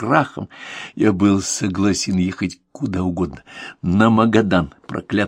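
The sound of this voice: An unforced reading voice with fairly even intonation sits over a quiet background.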